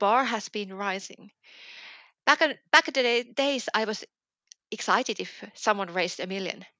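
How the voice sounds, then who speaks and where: A woman's fairly high, bright and sharp voice in a Finnish accent, with long, frequent pauses, dry and close with no echo, on a very clean recording with a silent background. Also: ordinary pitch variation, moderate pace. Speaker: business journalist. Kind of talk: interview. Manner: hesitant, with fillers.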